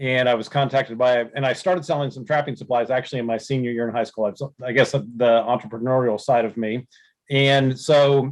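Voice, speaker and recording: An ordinary speaking voice from a man, medium in pitch, fairly even in intonation, at a moderate pace. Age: 60s. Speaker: trapping supply business owner. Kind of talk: podcast interview.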